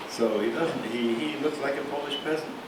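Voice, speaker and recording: A man talks while noticeable background noise sits beneath him. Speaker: rabbi and university professor. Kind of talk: lecture telling a folk story to an audience. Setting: lecture hall.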